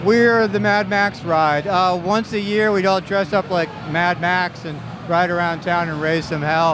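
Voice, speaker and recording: Noticeable background noise sits under a dry sound with no echo as a man with a high pitch speaks at a moderate pace with fairly even intonation. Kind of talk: interview answer. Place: stadium. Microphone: handheld.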